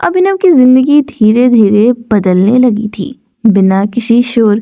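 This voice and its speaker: Soft-spoken and fairly high in pitch, a woman talks with lively intonation. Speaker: audiobook narrator. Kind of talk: sleep story. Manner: soft-spoken, slow.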